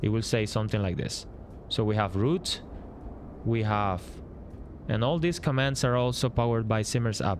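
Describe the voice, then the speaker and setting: Speaking with a Spanish accent, a man at a medium pitch keeps his loudness very even and his pitch variation ordinary, moving at a moderate pace broken by long, frequent pauses. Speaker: flight sim streamer and app developer. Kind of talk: live stream commentary. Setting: live stream. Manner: halting, many fillers.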